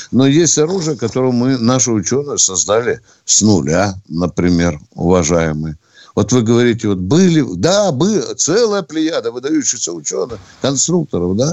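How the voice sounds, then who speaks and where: A man's medium-pitched voice with very wide pitch swings and very even loudness. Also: moderate pace. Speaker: radio host, retired army colonel. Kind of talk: call-in radio show. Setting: studio. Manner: blunt, abrupt with callers.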